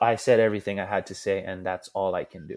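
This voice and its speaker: A man with a Hawaiian accent on a very clean recording with a silent background. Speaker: pro surfer and scientist. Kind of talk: casual chat.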